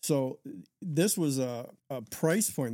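With an American accent, a man uses a normal speaking voice at a medium pitch with ordinary pitch variation. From Michigan. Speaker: internet service pioneer. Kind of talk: interview.

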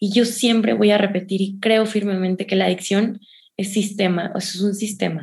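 A woman with a Mexican accent speaks at a moderate pace in a somewhat breathy voice. Her pitch is medium, with fairly even intonation. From Mexico, San Luis Potosí. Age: 20s. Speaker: public speaker and addiction therapist. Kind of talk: interview testimony.

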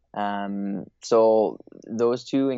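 In a Canadian accent, a plain, everyday voice speaks with ordinary pitch variation. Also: man. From Eastern Canada. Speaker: play advocacy coordinator. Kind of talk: interview.

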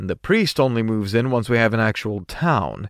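Reading aloud in a natural voice with fairly even intonation

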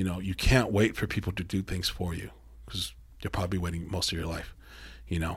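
In an American accent, a man with a very deep, low pitch and vocal fry talks in an animated tone at a fairly quick pace with ordinary pitch variation, on a very clean recording with a silent background. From Mexico, raised in US. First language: Spanish. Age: 30s. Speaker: metal band musician. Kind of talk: casual interview. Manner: animated, profane.

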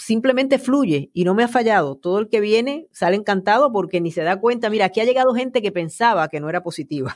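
A woman at medium pitch with lively intonation, at a very fast pace with hardly any pauses. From Puerto Rico. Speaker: podcast host. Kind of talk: interview conversation.

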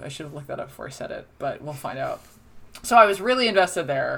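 Talking at a very fast pace, a woman with a New Jersey accent has a fairly low pitch and lively intonation. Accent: New Jersey American. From US Northeast, New Jersey shore. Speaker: film critic. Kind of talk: casual chat. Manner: animated.

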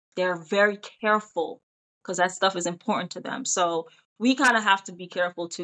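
A woman speaks at a fairly quick pace with fairly even intonation and a medium pitch. Hers is an unremarkable speaking voice. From Jamaica, then Pennsylvania from age 10. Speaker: actress and TV host. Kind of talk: casual chat.

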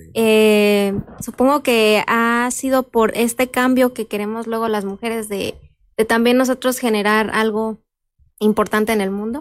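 Very clean, silent-background recording of a woman with fairly high pitch, flat monotone intonation and a fairly slow pace. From Michoacán, Mexico. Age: 20s. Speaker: lawyer. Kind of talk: interview.

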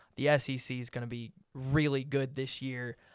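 In a very clean recording with a silent background, a man speaks with a Southern US accent at a medium pitch and fairly even intonation. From Alabama (Hoover). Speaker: student podcast host. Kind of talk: casual sports talk.

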